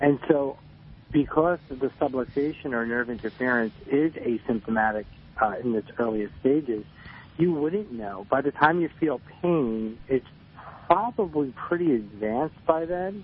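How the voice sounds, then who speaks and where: Talking at a fairly slow pace, a man uses lively intonation. He has a fairly high voice and a New Jersey accent. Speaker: chiropractor. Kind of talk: radio interview.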